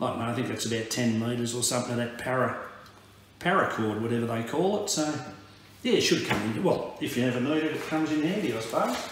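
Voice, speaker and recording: The speech comes very fast, with strong room echo and light background noise. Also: man. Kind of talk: casual vlog chat. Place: home room. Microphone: camera far.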